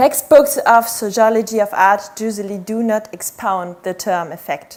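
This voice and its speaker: A woman speaks at a moderate pace and a fairly high pitch. She has a normal speaking voice. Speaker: PhD researcher, conference speaker. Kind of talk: conference talk.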